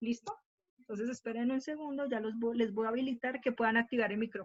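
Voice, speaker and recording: This woman talks at a very fast pace with a fairly high pitch. Her intonation stays fairly even. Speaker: math teacher. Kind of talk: online class lecture.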